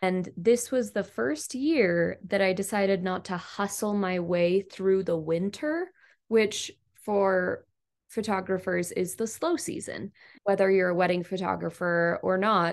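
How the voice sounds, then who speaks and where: Speaking fairly slowly in an ordinary speaking voice with ordinary pitch variation, a woman is heard over a quiet background. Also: medium pitch for a woman. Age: 30s. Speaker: photographer. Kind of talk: casual chat.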